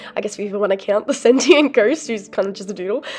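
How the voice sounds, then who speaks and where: A woman speaks over noticeable background noise. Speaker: artist. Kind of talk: casual talk to camera.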